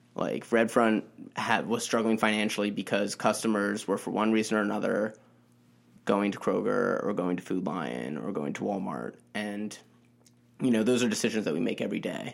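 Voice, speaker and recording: Vocal fry marks the fairly low voice of a man speaking with an American accent. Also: ordinary pitch variation, moderate pace. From US Mid-Atlantic, DC suburbs. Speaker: newspaper reporter. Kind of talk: casual interview.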